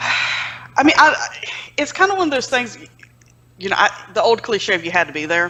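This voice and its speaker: A woman with a Southern US accent, fairly high in pitch, with very wide pitch swings and long, frequent pauses. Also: moderate pace. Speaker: magazine publisher and editor. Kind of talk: casual interview.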